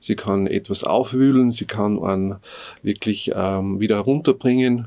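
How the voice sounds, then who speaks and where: Fairly slow and fairly even in intonation, a man speaks at a fairly low pitch. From Upper Austria, Innviertel. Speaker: folk musician and music teacher. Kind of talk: interview. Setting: studio. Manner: halting, many filler sounds.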